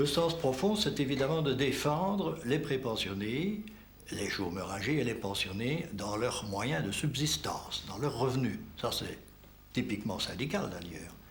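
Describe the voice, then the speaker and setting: Speaking at a fairly slow pace with a Liège accent, a man has a medium pitch and very wide pitch swings. Audible room echo surrounds the voice. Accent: Belgian French, Liège. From Belgium, Liège region. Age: 70s. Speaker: retired trade unionist. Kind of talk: documentary interview; speech to an assembly.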